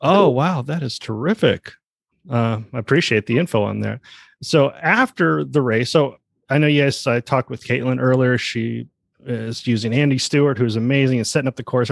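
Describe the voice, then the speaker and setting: A man's normal speaking voice with an American accent, medium in pitch with ordinary pitch variation, in a dry, close sound with no echo. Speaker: podcast host. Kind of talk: casual interview.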